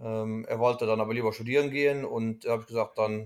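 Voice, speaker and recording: The intonation is monotone and flat. This man's voice sits at a medium pitch. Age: 30s. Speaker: dairy farmer. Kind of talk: interview. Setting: at home in the evening. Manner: hesitant, many fillers.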